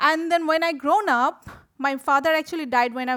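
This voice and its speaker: In a Bengali accent, a woman speaks at a moderate pace with a bright, sharp tone and fairly even intonation, on a very clean recording with a silent background. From Bangladesh. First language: Bangla. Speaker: visual artist and photography teacher. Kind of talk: symposium talk.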